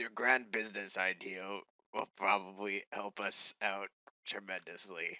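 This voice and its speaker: A put-on character voice, raspy and delivered in a flat monotone. The sound is dry and close, with no echo. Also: man, fairly low pitch for a man, moderate pace. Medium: actual play.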